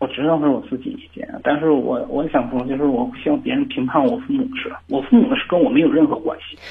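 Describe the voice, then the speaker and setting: Talking at a very fast pace with hardly any pauses, a man with a fairly high voice swings widely in pitch and loudness over noticeable background noise. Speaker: caller. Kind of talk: phone call. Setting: phone call. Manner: halting.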